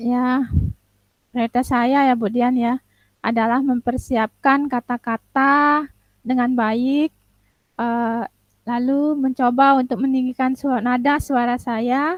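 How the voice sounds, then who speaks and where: Over background music, a woman with a high pitch speaks very slowly in a monotone, flat intonation, in a dry, close sound with no echo. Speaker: teacher. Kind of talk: coaching role-play. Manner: halting.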